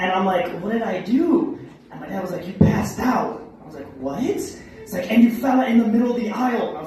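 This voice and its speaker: Over noticeable background noise and audible room echo, a man with an extremely high pitch speaks at a moderate pace with lively intonation. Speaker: open mic comedian. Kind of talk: stand-up. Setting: stage with audience.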